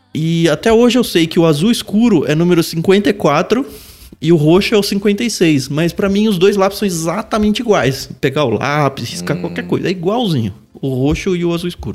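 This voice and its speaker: A man's high-pitched voice at a moderate pace, lively in intonation, with music in the background. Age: 40s. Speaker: podcast co-host. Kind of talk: casual chat.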